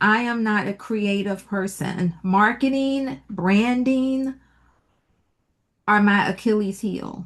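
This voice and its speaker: Speaking very slowly with an American accent, a woman uses a medium pitch and ordinary pitch variation. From Virginia, Petersburg. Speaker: entrepreneur. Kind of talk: interview. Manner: soft-spoken.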